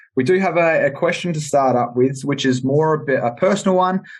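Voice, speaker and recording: Over a quiet background, a man with an Australian accent talks fairly quickly in a somewhat breathy voice with ordinary pitch variation. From South Australia, Adelaide Hills. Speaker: podcast host. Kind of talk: casual roundtable chat.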